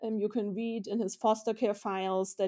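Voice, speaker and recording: This woman's voice has a dark, mellow tone and a medium pitch, with a German accent. The recording is very clean, with a silent background. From Vienna, Austria. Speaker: historian and author. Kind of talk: interview.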